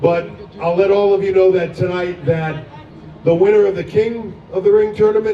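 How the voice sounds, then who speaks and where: Crowd noise fills the background as a man speaks at a fairly slow pace. His voice is high-pitched, with fairly even intonation. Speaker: wrestling executive. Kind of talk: public announcement speech.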